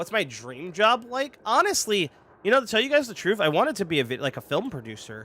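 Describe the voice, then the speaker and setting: A raised, projected voice at a very fast pace with very wide pitch swings. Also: man, high pitch for a man. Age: 20s. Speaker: gaming streamer. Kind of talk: live stream chat while gaming. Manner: casual, filler-heavy.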